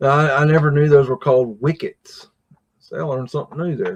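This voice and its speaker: With a somewhat breathy, fairly high voice, a man talks at a moderate pace. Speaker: livestream host. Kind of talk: casual live stream commentary. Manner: casual, filler-heavy.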